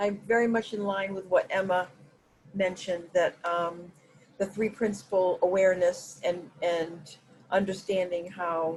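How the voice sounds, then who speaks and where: A woman's medium-pitched voice at a moderate pace, in a flat monotone. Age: 60s. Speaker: workshop participant. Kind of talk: group video call conversation. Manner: halting, many fillers.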